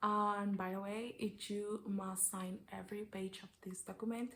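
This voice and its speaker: A woman with a Mexican accent speaks at a medium pitch. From Mexico. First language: Spanish. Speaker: au pair vlogger. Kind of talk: tutorial. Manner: hesitant, with fillers.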